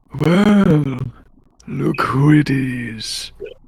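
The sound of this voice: The voice is raspy and put on, a character voice. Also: man, fairly high pitch for a man.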